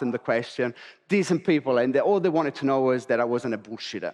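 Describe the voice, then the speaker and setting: A man speaks in an animated tone with lively intonation. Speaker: real estate agent. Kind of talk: conference keynote. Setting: stage with audience. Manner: fast.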